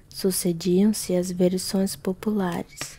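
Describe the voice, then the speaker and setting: A soft-spoken woman talks at a very slow pace in a medium pitch, her dark, mellow tone somewhat breathy. Her intonation is monotone and flat. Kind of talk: ASMR reading of a classic novel.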